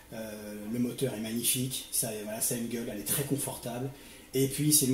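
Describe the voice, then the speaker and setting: Recorded with audible room echo and noticeable background noise, a man speaks at a moderate pace in a medium pitch, his intonation fairly even. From Paris suburbs (Seine-Saint-Denis). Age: 40s. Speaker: motovlogger, youth worker. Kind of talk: interview. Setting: at home.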